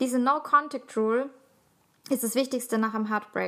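In a raised, projected voice, a woman speaks at a fairly quick pace, her high pitch bright and sharp in tone, with fairly even intonation. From Austria, city of Salzburg. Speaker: podcast co-host. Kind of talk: casual chat.

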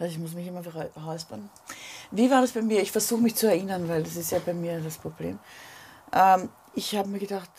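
A woman's somewhat breathy voice with a dark, mellow tone, ordinary pitch variation, a fairly quick pace, long, frequent pauses and big swings in loudness. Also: fairly low pitch for a woman. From Vienna, Grinzing. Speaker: singer. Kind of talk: casual chat.

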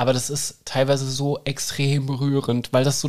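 This is a man speaking at a medium pitch. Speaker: naturopath (Heilpraktiker). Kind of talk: casual chat. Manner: animated.

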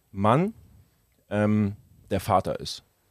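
A man at a medium pitch is heard with a dry, close sound and no echo. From Germany, Hamburg. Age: 30s. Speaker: entrepreneur and car enthusiast. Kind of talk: casual chat.

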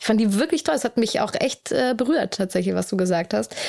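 Talking at a fairly quick pace, a woman uses a fairly high pitch with vocal fry. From Hamburg, northern Germany. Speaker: podcast host. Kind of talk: casual interview chat. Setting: in person, sitting in an armchair in Hamburg.

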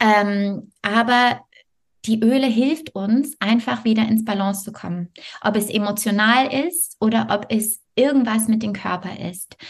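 Her voice is fairly high-pitched and somewhat breathy, with a non-native accent. This woman speaks at a fairly slow pace with ordinary pitch variation. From Canada, Montreal. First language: not German (speaking German). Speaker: yoga teacher and health coach. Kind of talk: interview.

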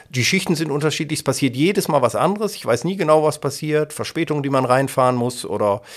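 A man's fairly high voice at a very fast pace, over noticeable background noise. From Germany, Kassel (northern Hesse). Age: 50s. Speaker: local radio editor-in-chief and presenter. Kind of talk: casual interview.

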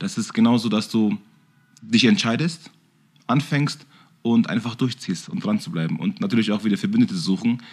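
The voice moves at a moderate pace with very wide pitch swings and long, frequent pauses. The recording is very clean, with a silent background. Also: man, medium pitch for a man. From Bavaria, Germany. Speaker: kickboxing champion and gym owner. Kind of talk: casual chat.

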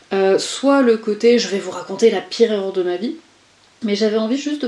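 A woman talks at a moderate pace with ordinary pitch variation. Noticeable background noise runs under her voice. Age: 40s. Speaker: coach and HR consultant. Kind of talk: interview conversation. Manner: halting with repetitions.

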